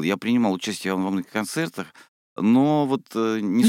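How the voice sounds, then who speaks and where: Over a very clean recording with a silent background and a dry, close sound with no echo, a man speaks at a moderate pace in an unremarkable speaking voice with lively intonation. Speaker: radio host. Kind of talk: radio interview. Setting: radio studio.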